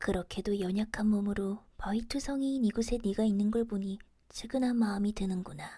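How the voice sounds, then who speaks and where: Soft-spoken delivery at a moderate pace. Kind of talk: audiobook reading.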